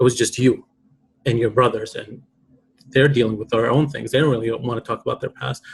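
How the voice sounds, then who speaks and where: A man's somewhat breathy voice, fairly high in pitch, with ordinary pitch variation. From Iraq. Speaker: poet, author. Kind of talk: podcast interview. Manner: reflective, emotional.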